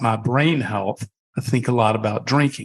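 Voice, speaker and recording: A plain, everyday voice, with ordinary pitch variation and a moderate pace. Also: man. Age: 60s. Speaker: wine company founder. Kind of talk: podcast interview.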